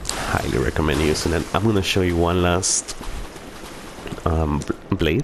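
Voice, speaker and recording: A man with a very deep, low voice and a non-native accent speaks at a fairly slow pace with long, frequent pauses, ordinary pitch variation and very even loudness over noticeable background noise. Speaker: gamer. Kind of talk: gameplay commentary. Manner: casual.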